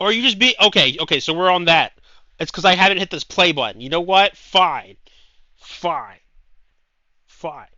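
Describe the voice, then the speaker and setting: A man with a high pitch shouts loudly in an animated tone at a moderate pace, with ordinary pitch variation and long, frequent pauses. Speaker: video game streamer. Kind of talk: live gameplay stream. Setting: live stream with chat. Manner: loud, shouting; excitable, animated.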